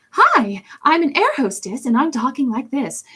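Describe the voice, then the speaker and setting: A female-sounding put-on character voice speaks at a high pitch and a moderate pace. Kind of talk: formal service-style speech. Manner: polished, cheery, put-on.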